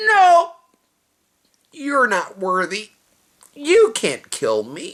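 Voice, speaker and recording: A put-on character voice, female-sounding and high-pitched. It moves at a very slow pace. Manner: dismissive, arrogant.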